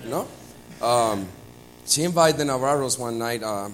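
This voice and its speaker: A man talks at a fairly slow pace in a Puerto Rican accent. The room echo is audible. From Puerto Rico. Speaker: church member sharing testimony. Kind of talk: testimony. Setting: church with congregation. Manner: halting.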